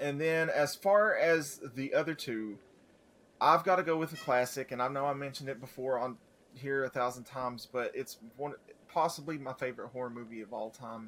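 A man talks at a moderate pace. He has a plain, everyday voice with a fairly high pitch. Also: ordinary pitch variation. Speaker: podcast co-host. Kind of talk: casual banter.

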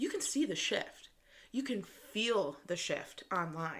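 Her delivery is very slow. The woman's pitch rises and falls over a very wide range. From US Midwest, Michigan suburbs. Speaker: podcast host, entrepreneur. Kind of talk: solo motivational monologue. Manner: casual, laughing often.

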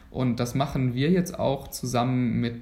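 A man's voice is accompanied by noticeable background noise. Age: 20s. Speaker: medical student. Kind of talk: podcast interview.

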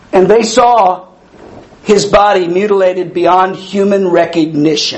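A man's high-pitched voice at a fairly slow pace, over noticeable background noise. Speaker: preacher giving a sermon. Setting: church service with audience responses. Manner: animated, laughs often, talks with the congregation.

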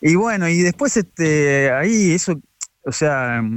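Speaking very slowly, a man swings his pitch very widely. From Argentina, La Plata. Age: 40s. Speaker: photographer. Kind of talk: radio interview. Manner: halting.

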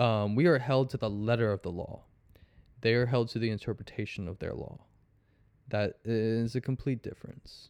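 A man at a medium pitch and moderate pace, with fairly even intonation and a quiet background. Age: 20s. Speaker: pawn shop worker. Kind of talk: casual chat. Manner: halting.

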